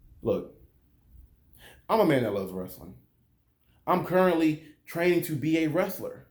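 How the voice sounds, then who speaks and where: In an animated, passionate tone, a man speaks at a high pitch with lively intonation. His moderate pace carries audible room echo. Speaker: wrestling commentary youtuber. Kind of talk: opinion rant video review.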